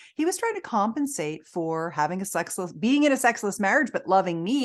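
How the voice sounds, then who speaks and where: A woman's voice with very wide pitch swings over a quiet background. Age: 60s. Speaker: intimacy expert and entrepreneur. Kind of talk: podcast interview.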